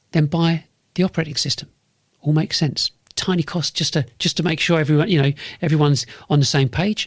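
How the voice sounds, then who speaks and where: A man with a London accent speaks at a very fast pace but with long, frequent pauses. His fairly high voice keeps fairly even intonation and very even loudness in a dry, close sound with no echo. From North London, England. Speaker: podcast host and business consultant. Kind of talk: monologue podcast pitch. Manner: repetitive, restarts phrases; sharp, direct.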